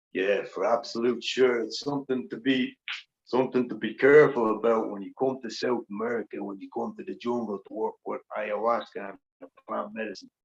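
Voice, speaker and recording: A man talks at a fairly quick pace with an Irish accent. His loudness swings widely. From Ireland. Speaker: plant medicine practitioner. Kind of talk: interview answer.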